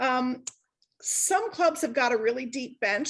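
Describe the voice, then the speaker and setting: A woman talks loudly at a high pitch, with ordinary pitch variation. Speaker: service club member giving a talk. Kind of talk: online workshop presentation. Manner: casual, chatty with many fillers.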